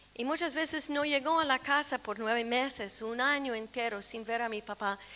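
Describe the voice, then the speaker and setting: A woman projects a raised voice with a bright, sharp tone, speaking at a moderate pace with ordinary pitch variation. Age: 60s. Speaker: preacher. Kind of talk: sermon.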